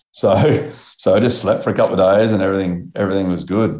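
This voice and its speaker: A man talks with an Australian accent. His fairly low voice moves at a fairly quick pace. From Australia, Melbourne. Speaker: BASE jumper and author. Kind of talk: interview. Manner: casual, laid-back with filler words.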